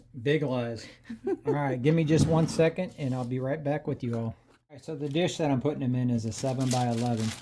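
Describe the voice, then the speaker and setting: Mumbling at a very fast pace, a man speaks at a medium pitch with a dark, mellow tone. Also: ordinary pitch variation. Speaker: cooking channel host. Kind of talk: casual cooking tutorial. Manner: casual, halting.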